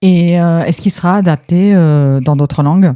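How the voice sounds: Her fairly low voice has a clear, smooth tone that is also dark and mellow. The woman speaks at a moderate pace with ordinary pitch variation.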